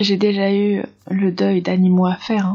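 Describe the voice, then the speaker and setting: Somewhat airy breath runs through this voice. The delivery is rather unhurried. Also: woman. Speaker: vlogger. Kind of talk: personal vlog talk to camera. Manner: halting, many hesitations.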